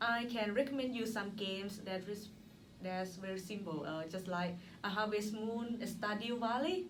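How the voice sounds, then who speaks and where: In a Thai accent, a woman speaks at a moderate pace with a medium pitch, ordinary pitch variation and a somewhat breathy sound. There is audible room echo. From Thailand. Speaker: former teacher, graduate student. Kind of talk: casual interview. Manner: halting.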